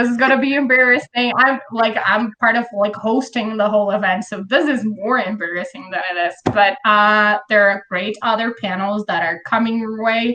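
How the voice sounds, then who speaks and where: Speaking at a moderate pace with hardly any pauses, a woman with a Brazilian accent has a fairly high pitch and ordinary pitch variation. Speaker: author and panel host. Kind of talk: casual panel chat. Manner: casual, filler-heavy.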